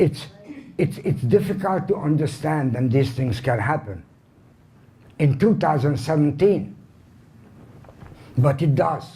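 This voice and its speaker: A man in a Hungarian accent, with a somewhat breathy, dark, mellow voice of fairly high pitch, speaks with lively intonation and long, frequent pauses amid audible room echo. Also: fairly slow pace. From Hungary, Budapest. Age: 80s+. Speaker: Holocaust survivor speaker. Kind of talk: lecture.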